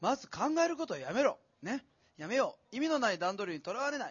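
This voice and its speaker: The speaker sounds animated, the pitch swinging very widely. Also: man. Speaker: event navigator and author. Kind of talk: live talk event hosting. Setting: stage with audience.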